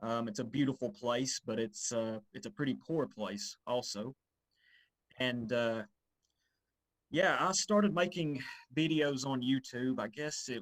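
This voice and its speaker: Here a man talks with an Appalachian accent at a medium pitch. His pace is moderate and his pitch varies in an ordinary way. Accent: Appalachian Southern US. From US South, northeast Tennessee, Appalachia. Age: 30s. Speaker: YouTuber and history enthusiast. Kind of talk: interview. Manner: halting, many fillers.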